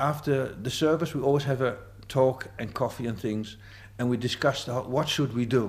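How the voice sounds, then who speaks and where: Somewhat breathy, a man with a Dutch accent speaks at medium pitch and a moderate pace. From Amsterdam, Netherlands. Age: 50s. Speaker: psychiatric nurse and community volunteer. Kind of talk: interview testimony.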